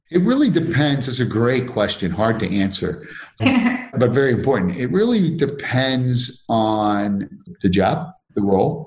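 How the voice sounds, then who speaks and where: A man's somewhat breathy, medium-pitched voice at a fairly slow pace, with lively intonation. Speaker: company CEO. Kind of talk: casual interview.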